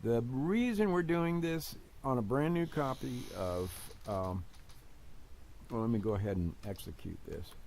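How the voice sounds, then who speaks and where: A man speaks at a fairly slow pace with a dark, mellow tone and very wide pitch swings. Audible room echo surrounds his voice. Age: 70s. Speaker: tech YouTuber, flight sim hobbyist. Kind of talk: screen-share tech troubleshooting demo. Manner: halting, many fillers.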